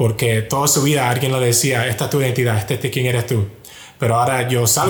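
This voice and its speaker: A man speaks very fast at medium pitch, his intonation monotone and flat. Noticeable background noise and audible room echo surround him. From US, Miami. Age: 20s. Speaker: software engineer at a big tech company. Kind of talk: testimony.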